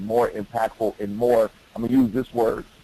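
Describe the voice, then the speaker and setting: A man speaks with an American accent at a moderate pace and a medium pitch. Noticeable background noise sits behind him. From Detroit, Michigan. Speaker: youth leadership educator. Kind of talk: webinar presentation.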